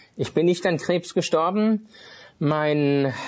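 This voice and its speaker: The man's voice is fairly high in pitch, with ordinary pitch variation. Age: 50s. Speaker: itinerant minister, former art dealer. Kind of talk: personal testimony interview. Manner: hesitant, many filler sounds.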